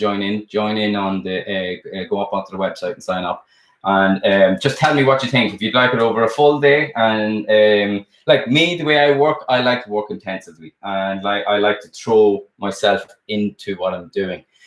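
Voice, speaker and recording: Speaking with an Irish accent, a man goes at a moderate pace with hardly any pauses and ordinary pitch variation. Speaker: sculptor and art teacher. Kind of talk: live stream chat. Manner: casual, hesitant with many fillers.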